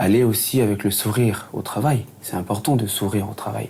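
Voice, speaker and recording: His intonation stays fairly level. The man's voice sits fairly low in pitch. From New Caledonia (Lifou, Loyalty Islands). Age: 30s. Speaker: recruitment assistant. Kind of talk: interview testimony. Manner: halting, many fillers.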